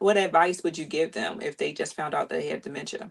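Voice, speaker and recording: This is a woman's voice. It has vocal fry. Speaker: podcast host and family caregiver. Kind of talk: casual podcast interview.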